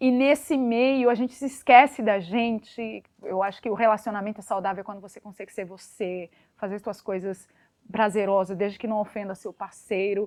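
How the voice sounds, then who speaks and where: Speaking at a moderate pace, a woman with a medium pitch keeps her intonation fairly even while her loudness swings widely. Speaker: podcast guest. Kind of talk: casual chat. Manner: halting.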